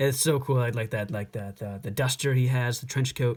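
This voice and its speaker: A somewhat breathy man's voice at medium pitch, with ordinary pitch variation. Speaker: toy customizing YouTuber. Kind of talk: tutorial. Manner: fast; halting.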